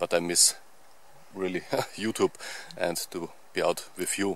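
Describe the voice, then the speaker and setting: A man's fairly low voice at a very slow pace, dry with no echo. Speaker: outdoor channel host. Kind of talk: casual vlog chat. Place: forest. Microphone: phone near.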